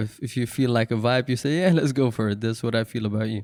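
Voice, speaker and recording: A man's medium-pitched voice with a non-native accent, fairly quick and fairly even in intonation, on a very clean recording with a silent background. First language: not English. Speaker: podcast host. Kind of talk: casual interview.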